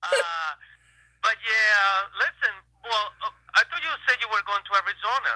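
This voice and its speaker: Using a raised, projected voice, a man speaks at a high pitch and a moderate pace with long, frequent pauses. The sound is dry and close, without echo. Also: ordinary pitch variation. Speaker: caller. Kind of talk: phone call-in chat.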